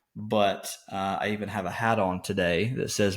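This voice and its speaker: At a moderate pace, a man with an Arkansas accent speaks in a fairly low pitch. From Arkansas, east (Brinkley). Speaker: podcast co-host, farm background. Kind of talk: casual podcast chat. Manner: hesitant, many fillers.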